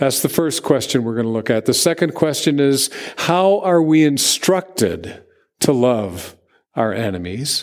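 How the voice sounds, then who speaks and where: Speaking at a fairly slow pace, a man uses a fairly high pitch. His pitch swings very widely. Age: 60s. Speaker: pastor. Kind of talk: sermon. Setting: church.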